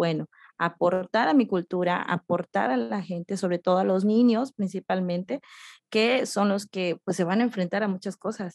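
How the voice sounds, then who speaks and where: The recording is dry and close with no echo and a quiet background. A woman speaks fairly slowly at a medium pitch with ordinary pitch variation. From Yucatán, Mexico (Oxkutzcab). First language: Yucatec Maya (speaking Spanish). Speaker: poet and writer, educator. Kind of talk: interview. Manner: hesitant, many fillers.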